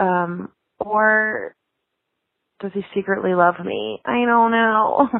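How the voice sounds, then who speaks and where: A woman talks at a very slow pace with long, frequent pauses, her medium pitch varying in an ordinary way. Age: 30s. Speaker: caller. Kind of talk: voicemail.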